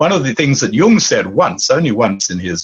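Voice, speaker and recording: A man in an Australian accent makes very wide pitch swings over noticeable background noise. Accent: Anglo-Australian. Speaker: author and dream teacher. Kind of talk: interview.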